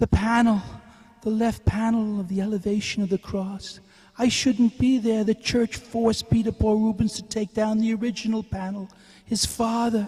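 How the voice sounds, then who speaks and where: Put on as a character voice, the fairly high-pitched speech comes at a moderate pace in a flat monotone. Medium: voice reel.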